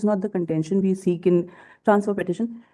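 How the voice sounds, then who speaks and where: The voice moves at a very fast pace with a dark, mellow tone. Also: woman. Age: 60s. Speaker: litigant arguing own case. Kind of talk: court hearing. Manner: formal.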